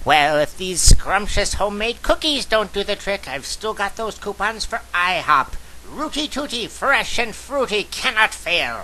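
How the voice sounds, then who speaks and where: A man puts on a cartoonish character voice at a high pitch, with clear background noise behind him. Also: moderate pace, lively intonation. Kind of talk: cartoon parody voices. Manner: theatrical, irritable.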